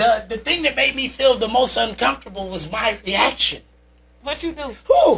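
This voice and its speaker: An extremely high-pitched man speaks in an animated tone with very wide pitch swings, against noticeable background noise. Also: moderate pace. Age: 40s. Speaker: podcast host guest. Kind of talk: casual chat.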